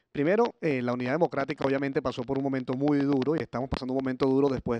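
With a dark, mellow tone and fairly even intonation, a man talks at a very fast pace in a dry sound with no echo and light background noise. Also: hardly any pauses. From Venezuela. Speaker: opposition politician. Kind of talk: panel speech. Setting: conference stage with audience. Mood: earnest, grave. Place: stage. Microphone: podium.

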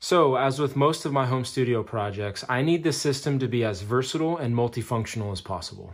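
A man speaks with hardly any pauses. The background is quiet. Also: ordinary pitch variation, fairly quick pace. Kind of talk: tutorial narration. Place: home room.

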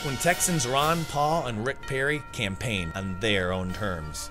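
Over music in the background, a man with an American accent speaks at a fairly slow pace, his medium pitch making very wide swings. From Iowa, USA. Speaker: photographer. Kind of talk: documentary trailer narration.

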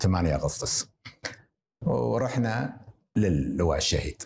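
A somewhat breathy man's voice with a dark, mellow tone over light background noise. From Kuwait, Jleeb Al-Shuyoukh; Kuwait. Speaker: retired surgeon and hospital director; interview guest. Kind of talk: interview. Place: home room. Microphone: lapel.

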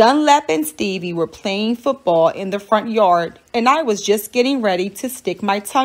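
Someone reads in an unforced voice. The intonation rises and falls in a lively way.

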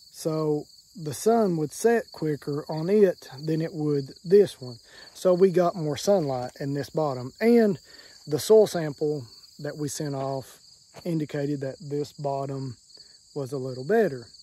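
With a dark, mellow tone and ordinary pitch variation, a man talks at a fairly slow pace, his loudness swinging widely in a dry sound with no echo. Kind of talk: casual vlog chat. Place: garden. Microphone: phone near.

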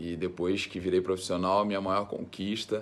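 The speaker here is male. He delivers everything in a monotone, with flat intonation. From Brazil, Rio de Janeiro state interior. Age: 30s. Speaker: professional footballer. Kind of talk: interview. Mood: relaxed, friendly. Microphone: phone near.

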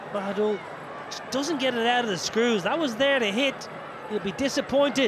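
Amid noticeable background noise, a man with an extremely high pitch and ordinary pitch variation talks at a moderate pace, leaving long, frequent pauses. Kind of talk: cricket commentary.

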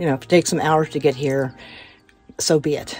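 Faint music plays in the background as a woman with a very deep, low pitch talks at a fairly quick pace, the sound dry with no echo. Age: 60s. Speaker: solo van-life traveler. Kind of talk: casual talk to camera, vlog. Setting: outdoors in a van.

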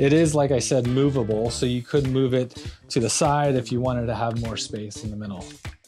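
A man speaks with ordinary pitch variation. Clear music plays in the background. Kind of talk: home tour explanation. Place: home room.

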